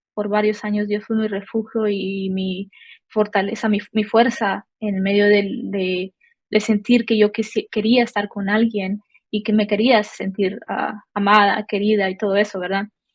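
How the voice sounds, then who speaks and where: Somewhat breathy, a woman speaks slowly-ish, at a fairly slow pace, with monotone, flat intonation. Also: medium pitch for a woman. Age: 20s. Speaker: church member sharing testimony. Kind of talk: testimony. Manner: halting, many fillers.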